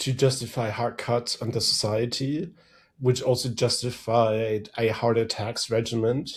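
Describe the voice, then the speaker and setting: In a German accent, a man speaks at medium pitch and a fairly slow pace. His intonation is monotone and flat, and his voice is somewhat breathy. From Germany. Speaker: threat intelligence strategist. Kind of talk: podcast interview.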